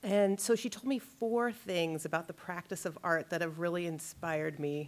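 A woman speaks in a normal speaking voice, her pitch fairly low. She talks at a moderate pace. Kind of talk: lecture. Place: hall. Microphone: podium.

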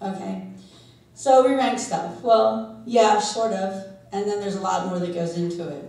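Lively intonation marks a woman's speech, heard with audible room echo. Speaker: SEO consultant and conference speaker. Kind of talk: conference talk. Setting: stage with audience. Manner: fast talker. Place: hall.

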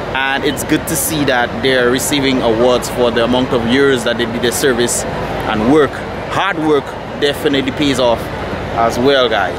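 Loud background noise fills the clip. A man speaks in a dry sound with no echo. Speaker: vlogger. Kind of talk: casual vlog chat. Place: stadium. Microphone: phone near.

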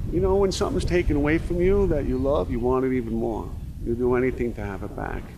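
In an American accent, a man with a medium pitch talks at a very fast pace with very wide pitch swings. There is audible room echo. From New York City, Brooklyn. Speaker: tour guide and local historian. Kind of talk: documentary interview.

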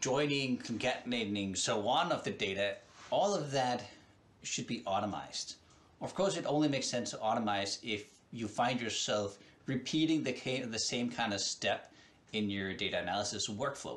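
The intonation is lively. A man delivers his words at a moderate pace. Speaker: presenter. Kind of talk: tutorial. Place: home room. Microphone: headset.

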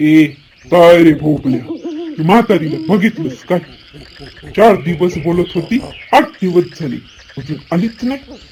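Using a cartoonish character voice pitched high, a man speaks at a fairly slow pace. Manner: gruff, blunt.

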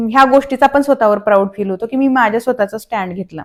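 The recording is very clean, with a silent background. A woman speaks in a high pitch with ordinary pitch variation. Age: 30s. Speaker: vlogger, new mother. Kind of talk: casual vlog talk to camera. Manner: animated.

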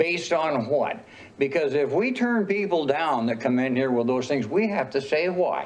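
With an American accent, a man speaks at a fairly high pitch and moderate pace with lively intonation, amid audible room echo and noticeable background noise. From northern Idaho. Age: 80s+. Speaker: city council member. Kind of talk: council meeting remarks. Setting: public council meeting with audience. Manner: halting.

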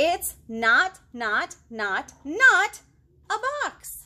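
Using a put-on character voice, a woman speaks at a very slow pace in a high pitch, with big pitch swings and a bright, sharp tone.

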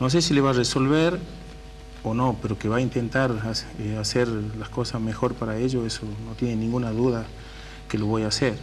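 Light noise sits in the background. The man talks at a moderate pace. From Tucumán, northwest Argentina. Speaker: political candidate, community worker; council candidate. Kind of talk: radio interview. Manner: casual. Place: studio.

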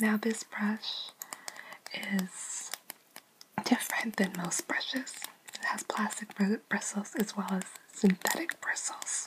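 A soft-spoken woman whispers at a very slow pace. Light background noise runs underneath. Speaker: beauty ASMR creator. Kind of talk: ASMR makeup collection review. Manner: whispered, soft-spoken. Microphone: phone near.

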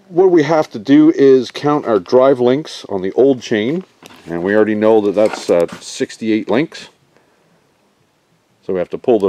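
In an unremarkable speaking voice, a man talks at a moderate pace, with a dry sound, no echo and light background noise. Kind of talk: tutorial. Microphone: phone near.

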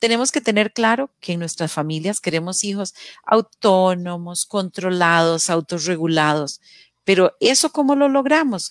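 Speaking fairly slowly with lively intonation, a woman is heard in a dry sound with no echo and a quiet background. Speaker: radio program host. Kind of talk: casual talk show discussion. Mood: warm, expressive. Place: home room. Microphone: headset.

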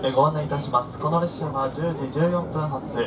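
A man speaks with ordinary pitch variation as noticeable noise sounds in the background. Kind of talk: public announcement. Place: train. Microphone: pa.

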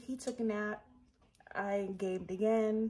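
A woman speaks in a somewhat breathy voice. There is light background noise behind her. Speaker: vlogger. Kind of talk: casual vlog chat. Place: kitchen. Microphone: phone near.

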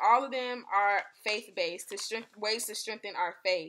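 A woman talks at a moderate speed while light noise sits in the background. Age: 20s. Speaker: faith podcast host. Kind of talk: devotional talk. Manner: casual, filler-heavy. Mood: earnest, encouraging. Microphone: webcam.

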